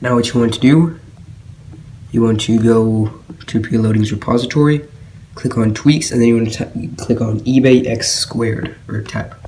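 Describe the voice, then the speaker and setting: Over noticeable background noise, a man with a medium-pitched voice talks at a moderate pace with fairly even intonation and long, frequent pauses. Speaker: tech tutorial maker. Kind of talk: screen-recorded tech tutorial. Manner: casual, hesitant with fillers.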